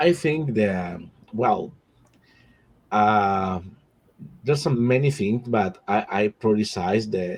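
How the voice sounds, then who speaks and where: Speaking at a very slow pace with long, frequent pauses, a man with a Spanish accent uses a fairly low pitch, lively intonation and very even loudness. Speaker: nonprofit board member. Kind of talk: panel discussion. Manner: halting, many repetitions.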